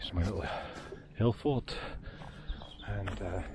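At a fairly slow pace, a man speaks low with a slightly mellow tone and ordinary pitch variation.

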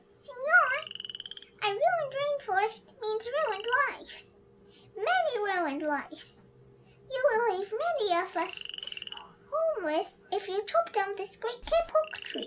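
A woman's squeaky, put-on character voice at an extremely high pitch, with a moderate pace and long, frequent pauses

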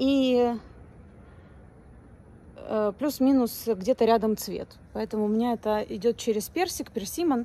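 Over light background noise, a woman with a high voice speaks at a moderate pace in a dry recording with no echo. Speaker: vlogger. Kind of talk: casual vlog chat. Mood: relaxed, chatty. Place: street. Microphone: phone near.

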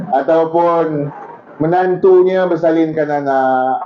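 With noticeable background noise behind him, a man speaks very slowly at a fairly high pitch with ordinary pitch variation. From Malaysia, Johor. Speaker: religious preacher. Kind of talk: sermon. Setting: outdoors. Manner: animated; loud.

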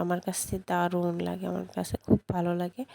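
A fairly low female voice, dark and mellow in tone. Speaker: cooking vlogger. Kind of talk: casual cooking vlog talk.

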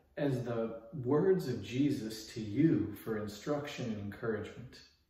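A man's fairly slow pace is heard with audible room echo. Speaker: pastor giving a daily devotional. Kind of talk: short devotional sermon. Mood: earnest, encouraging. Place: home room.

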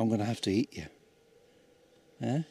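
Against light background noise, a man speaks at a fairly quick pace with vocal fry and ordinary pitch variation, the sound dry with no echo. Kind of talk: casual vlog chat. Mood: playful, joking. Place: open country. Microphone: phone near.

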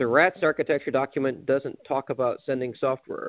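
A man speaks at a moderate pace, the sound dry with no echo and the background quiet. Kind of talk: meeting discussion.

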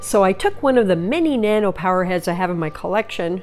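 Over music in the background, a woman with a medium-pitched voice speaks at a moderate pace with lively intonation. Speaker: reef aquarium hobbyist. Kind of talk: casual tutorial narration to camera.

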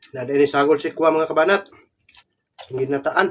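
The voice has a fairly bright tone, moves at a moderate pace, and shows ordinary pitch variation. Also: man, fairly high pitch for a man.

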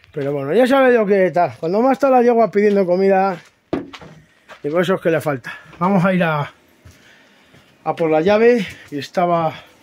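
With light background noise behind him, a man with a high voice speaks at a moderate pace, using lively intonation and long, frequent pauses. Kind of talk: casual vlog chat. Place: open country. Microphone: phone near.

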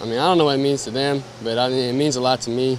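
Over noticeable background noise, a man talks with fairly even intonation, the sound dry with no echo. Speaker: interviewee. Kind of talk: interview answer. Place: street. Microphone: handheld.

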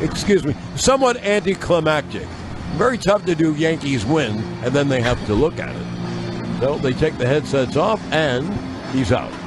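A man is speaking. The sound is dry with no echo, and noticeable background noise is present. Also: moderate pace. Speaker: radio baseball play-by-play broadcaster. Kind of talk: live sports radio play-by-play call. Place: booth.

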